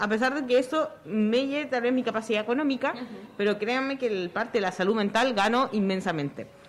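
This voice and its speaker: A fairly quick pace and lively intonation, with noticeable noise in the background. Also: woman. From Chile. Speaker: comic artist and activist. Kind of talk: live radio talk show. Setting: outdoors at a fair.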